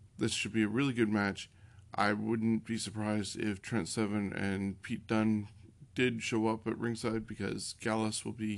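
In an ordinary speaking voice, a man talks at a fairly slow pace and a fairly low pitch, on a very clean recording with a silent background. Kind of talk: wrestling preview and predictions, not live commentary.

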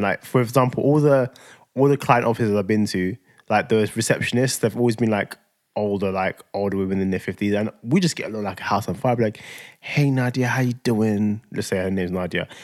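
In a London accent, a man with a fairly low pitch talks at a very fast pace in an animated tone. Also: ordinary pitch variation. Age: 30s. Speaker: podcast co-host. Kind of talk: casual chat.

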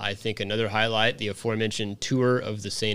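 A man speaks at a moderate pace with a fairly low pitch and an American accent. The recording is very clean, with a silent background. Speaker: podcast host. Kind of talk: casual chat.

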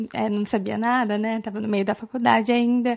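A woman speaks in a normal speaking voice, fairly high in pitch, with fairly even intonation. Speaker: young lawyer. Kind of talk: casual interview chat. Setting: office set up as studio.

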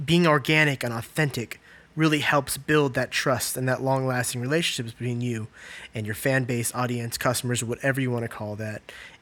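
Here is a man with a plain, everyday voice. He speaks at a fairly quick pace with a medium pitch. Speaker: podcast host, creative agency co-owner. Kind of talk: casual podcast conversation.

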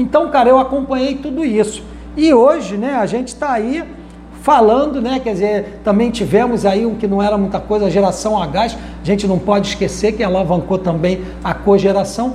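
A man's high voice at a moderate pace with ordinary pitch variation, amid audible room echo and noticeable background noise. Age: 60s. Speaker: power generator industry consultant. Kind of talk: podcast interview. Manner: casual, frequent fillers.

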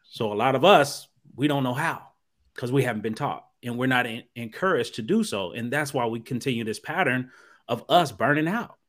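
This man has an ordinary speaking voice with a medium pitch and an American accent. He talks at a fairly quick pace in a very clean recording with a silent background. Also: ordinary pitch variation. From Ohio, US Midwest. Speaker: therapist. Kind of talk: podcast conversation.

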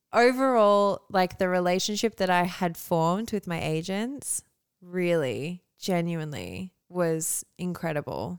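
In an Australian accent, the voice moves at a fairly slow pace with ordinary pitch variation, recorded dry and close with no echo on a very clean track with a silent background. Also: woman, fairly low pitch for a woman. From Australia (moved from Canada at eight, country town). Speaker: model. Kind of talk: casual chat.

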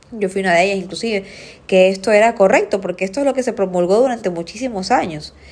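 At a very fast pace and in an animated tone, the speaker uses ordinary pitch variation over noticeable background noise. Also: woman, medium pitch for a woman. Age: 30s. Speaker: nutritionist podcast host. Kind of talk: solo educational podcast.

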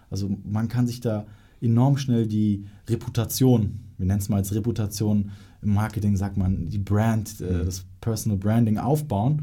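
Fairly low-pitched and somewhat breathy, a man speaks at a fairly slow pace in a dark, mellow tone with fairly even intonation. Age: young. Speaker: podcast host, marketing agency. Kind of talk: interview.

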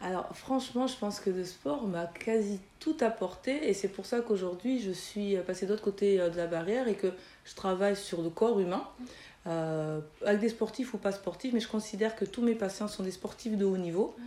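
This woman has a normal speaking voice, ordinary pitch variation and a moderate pace. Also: medium pitch for a woman. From France, Toulouse (Mirail), Chadian parents. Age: 40s. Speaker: physiotherapist. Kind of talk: interview.

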